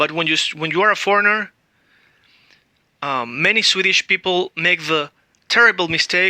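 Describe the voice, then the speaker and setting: A woman with a Spanish accent talks at a moderate pace and a fairly low pitch, her tone bright and sharp. The sound is dry and close, with no echo. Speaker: language teacher. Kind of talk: tutorial.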